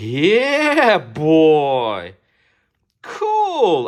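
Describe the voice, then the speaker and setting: In a very clean recording with a silent background, a woman with a non-native accent speaks at a medium pitch with very wide pitch swings. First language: not English. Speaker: toy collector / unboxing youtuber. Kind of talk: casual unboxing video. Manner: animated.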